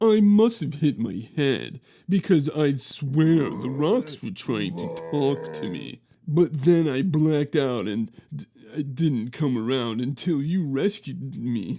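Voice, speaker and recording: A man puts on a character voice with a fairly high pitch and very wide pitch swings, speaking at a fairly slow pace. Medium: read story. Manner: stammering on first sounds.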